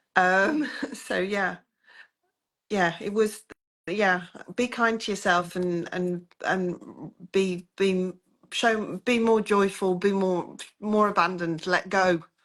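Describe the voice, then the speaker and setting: With a British accent and a medium pitch, a woman speaks very slowly with long, frequent pauses and fairly even intonation against a quiet background. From Britain. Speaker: coaching client. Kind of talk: interview.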